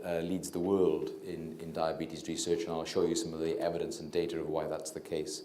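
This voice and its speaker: With a Welsh accent, the speaker moves at a fairly quick pace and hardly pauses at all. Room echo can be heard. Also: man. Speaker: doctor and diabetes researcher. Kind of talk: public lecture. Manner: quiet, low talker; hesitant, many fillers.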